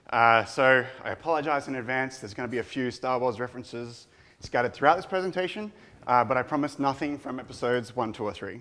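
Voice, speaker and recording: Speaking very fast with an Australian accent, a man uses a medium pitch with ordinary variation and a bright, sharp tone. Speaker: product manager giving conference talk. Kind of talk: conference talk.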